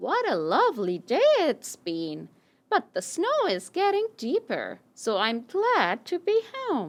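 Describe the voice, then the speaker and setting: A female-sounding, cartoonish character voice speaks at a high pitch and a fairly slow pace. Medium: puppet.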